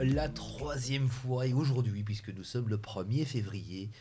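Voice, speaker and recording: This man's dark, mellow voice sits at a medium pitch and comes out somewhat breathy, with ordinary pitch variation at a fairly slow pace. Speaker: TV show host. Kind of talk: TV quiz hosting.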